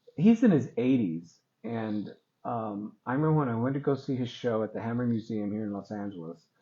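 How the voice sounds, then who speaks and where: Here is an ordinary speaking voice. The man talks at a medium pitch with ordinary pitch variation. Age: 60s. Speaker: artist and photographer. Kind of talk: interview.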